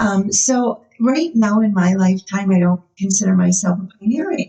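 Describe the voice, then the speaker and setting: At a moderate pace, a woman talks in a somewhat breathy voice with big swings in loudness. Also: medium pitch for a woman, ordinary pitch variation. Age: 60s. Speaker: nurse practitioner. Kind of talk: casual chat.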